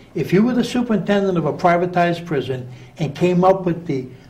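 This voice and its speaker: This man speaks at a moderate pace in a high pitch with ordinary pitch variation, and audible room echo surrounds his voice. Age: 60s. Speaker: prison reformer, former prisoner. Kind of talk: radio interview.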